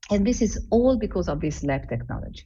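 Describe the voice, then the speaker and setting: A woman speaks with an Italian accent at a moderate pace. Audible room echo surrounds her voice. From Italy. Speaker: embryology lab director. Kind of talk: conference lecture.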